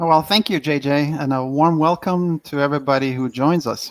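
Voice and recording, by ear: Pitched fairly high, a man talks at a fairly quick pace. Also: ordinary pitch variation.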